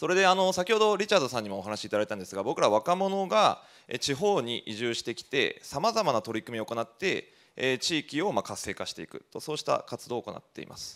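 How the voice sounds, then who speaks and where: Against a quiet background, a man speaks fairly quickly with vocal fry. His pitch swings very widely and his loudness rises and falls sharply. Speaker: rural community organizer; presenter, panelist. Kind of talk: presentation. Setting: stage with audience. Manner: many fillers, casual. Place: hall. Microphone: handheld.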